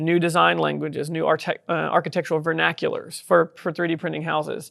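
Here a man talks with a Texas accent. His pace is fairly quick. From southeast Texas. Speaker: tech company founder and CEO. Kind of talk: interview.

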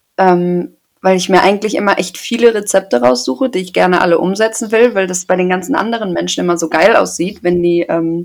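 A woman in a normal speaking voice talks at a fairly quick pace, her medium pitch carried by lively intonation. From Germany, Paderborn (Westphalia). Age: 20s. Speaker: podcast co-host, trainee. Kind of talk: casual chat.

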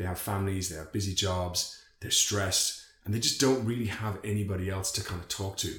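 A man with an Irish accent at a fairly low pitch, fairly even in intonation and fairly quick in pace, over noticeable background noise. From Ireland. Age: 30s. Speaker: men's circle organiser, finance and tech professional. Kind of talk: casual podcast interview.

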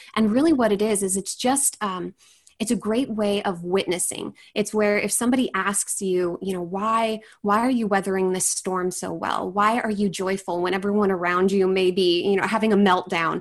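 With an American accent and a plain, everyday voice, a woman speaks at a moderate pace, her pitch medium and her intonation fairly even. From Washington State. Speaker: apologist and writer, podcast co-host. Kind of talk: interview conversation.

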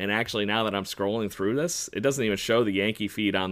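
A man has an unremarkable speaking voice, fairly low in pitch with ordinary pitch variation. The recording is very clean, with a silent background. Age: 30s. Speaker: sports podcast co-host. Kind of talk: casual chat.

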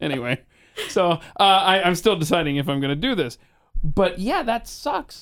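At a fairly quick pace, a man speaks with an American accent and lively intonation. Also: very clean recording, silent background. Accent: none noticeable per guest. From Atlanta, US South. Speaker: podcast host and talk radio personality. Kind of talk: casual interview chat.

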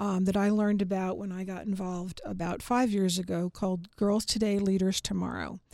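This woman has an American accent and a medium pitch with a dark, mellow tone. The recording is very clean, with a silent background. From New York suburbs (Larchmont). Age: 50s. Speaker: marketing company founder. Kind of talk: radio interview. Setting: studio.

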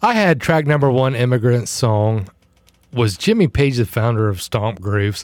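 A man's normal speaking voice, medium in pitch, with ordinary pitch variation, very even loudness and a moderate pace. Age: 40s. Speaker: podcast co-host.

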